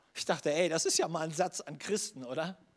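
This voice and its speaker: Recorded very cleanly against a silent background, a man with a plain, everyday voice speaks at a fairly high pitch with ordinary pitch variation. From northern Germany (Schleswig-Holstein). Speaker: pastor. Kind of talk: sermon.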